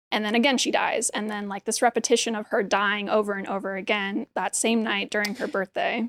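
Over a dry, close sound with no echo, a woman with a fairly high voice speaks at a fairly quick pace with hardly any pauses and fairly even intonation. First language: Hebrew. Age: 20s. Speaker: printmaker and art teacher. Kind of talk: casual interview. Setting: artist studio.

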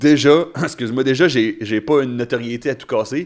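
On a very clean recording with a silent background, a man speaks in a normal speaking voice at a moderate pace with ordinary pitch variation. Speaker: stand-up comedian. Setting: studio.

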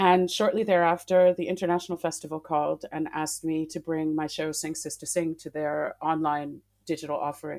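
A woman's very deep, low voice, flat and monotone, at a fairly quick pace. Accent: American. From Massachusetts, US. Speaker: classical singer. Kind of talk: interview.

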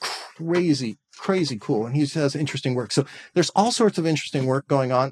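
A man with an American accent speaks with ordinary pitch variation in a dry, close sound with no echo. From California Bay Area. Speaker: composer and educator. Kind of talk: interview.

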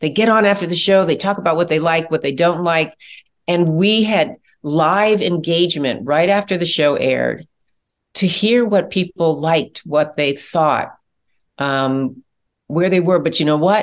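A woman with an American accent has an ordinary speaking voice, fairly low in pitch with ordinary pitch variation. She keeps a moderate pace and very even loudness against a quiet background. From US Midwest, Chicago. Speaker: TV producer and director. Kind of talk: interview.

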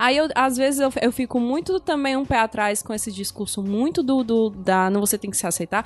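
With hardly any pauses, a woman speaks at a high pitch and a moderate pace with lively intonation. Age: 30s. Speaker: podcast host. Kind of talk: casual chat.

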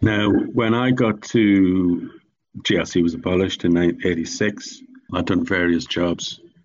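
A man speaks with an Irish accent at a very slow pace. His loudness stays very even. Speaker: charity founder. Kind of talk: interview.

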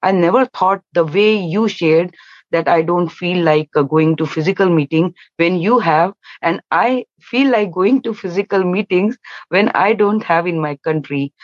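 A woman with an Indian accent speaks at a fairly low pitch and a fairly slow pace with ordinary pitch variation, in a dry, close sound with no echo.

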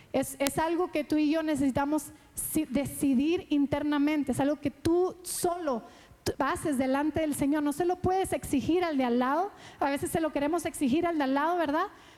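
With music in the background, a woman at a high pitch speaks with fairly even intonation and very even loudness. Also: moderate pace. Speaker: pastor. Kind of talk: sermon.

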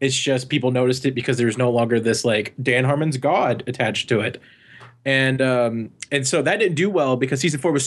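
An unremarkable speaking voice from a man, at a fairly quick pace with ordinary pitch variation. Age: 20s. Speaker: animator. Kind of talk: casual chat.

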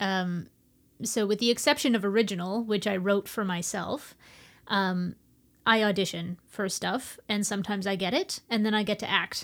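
This is a woman with an unremarkable speaking voice at medium pitch. She keeps a moderate pace on a very clean recording with a silent background. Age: 30s. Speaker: theater artist. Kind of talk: casual chat.

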